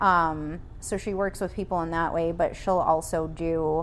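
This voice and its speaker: A woman with an American accent talks fairly slowly in a plain, everyday voice. Her pitch is fairly low and her intonation fairly even. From US Midwest, small town in Illinois. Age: 40s. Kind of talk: casual chat. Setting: at her home.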